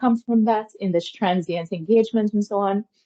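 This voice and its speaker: A woman in a Guyanese accent, medium in pitch, at a moderate pace. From Guyana. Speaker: academic lecturer. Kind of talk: academic seminar talk and Q&A.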